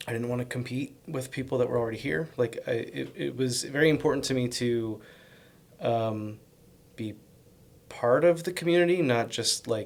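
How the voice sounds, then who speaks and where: The words are mumbled at a moderate pace. Pitch variation is ordinary. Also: man, medium pitch for a man. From US Northeast, Connecticut. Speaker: bakery owner and chef. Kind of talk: casual interview. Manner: mumbling; hesitant, many fillers.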